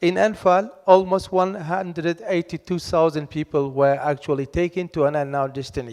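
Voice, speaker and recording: A loud, high-pitched male voice with hardly any pauses. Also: ordinary pitch variation, moderate pace. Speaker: academic expert on missing persons. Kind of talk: panel discussion. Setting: conference hall with audience.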